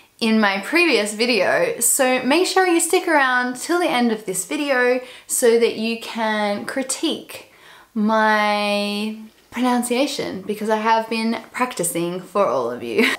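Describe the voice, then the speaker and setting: With an Australian accent, a woman speaks at a fairly slow pace. Her pitch is fairly high, and her intonation is lively. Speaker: expat vlogger. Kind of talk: casual talk to camera.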